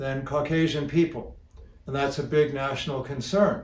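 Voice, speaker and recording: A man speaks at a fairly high pitch. Audible echo from the room can be heard. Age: 60s. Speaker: health educator. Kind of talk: educational talk. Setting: seated in a chair. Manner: relaxed.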